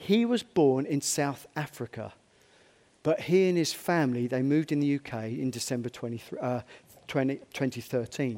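An ordinary speaking voice proceeds at a moderate pace on a very clean recording with a silent background. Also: man. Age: 50s. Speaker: pastor. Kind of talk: sermon. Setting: church.

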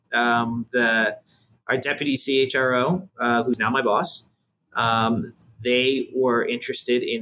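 Loud and bright, with a sharp tone, a man speaks in an American accent at a medium pitch. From Buffalo, New York, US. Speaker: workforce planning executive. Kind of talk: interview. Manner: loud and clear; hesitant, many fillers.

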